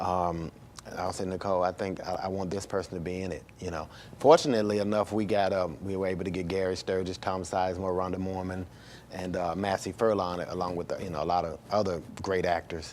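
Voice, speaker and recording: In a Southern US accent, a man talks with very deep, low pitch and monotone, flat intonation. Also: fairly quick pace. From US South, Birmingham, Alabama. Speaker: filmmaker. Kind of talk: interview. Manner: halting, many fillers and repeats.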